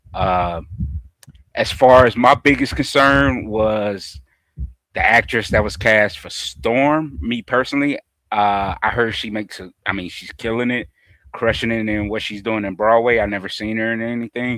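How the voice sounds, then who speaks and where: A man talks with a Southern US accent in a bright, sharp tone at a moderate pace. His medium pitch shows ordinary variation, and his loudness swings widely. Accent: Southern US (Georgia). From US South, Georgia. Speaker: horror and pop culture podcast panelist. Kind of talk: casual chat. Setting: live stream.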